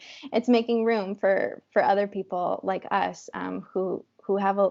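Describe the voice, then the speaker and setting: A soft-spoken woman at a moderate pace. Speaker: wellness entrepreneur. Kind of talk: interview. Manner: halting.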